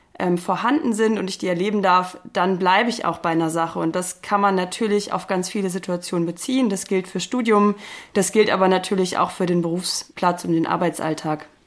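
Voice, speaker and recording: With an unremarkable speaking voice, a woman talks at a fairly quick pace and with fairly even intonation. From northern Germany, near Bielefeld. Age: 30s. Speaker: occupational psychologist. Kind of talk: interview.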